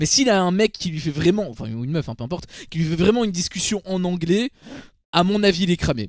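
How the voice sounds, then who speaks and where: In a dry, close recording with no echo, a man with a high pitch talks very fast, his intonation lively. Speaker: streamer, reality TV commentator. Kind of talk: casual chat on livestream. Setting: livestream with chat.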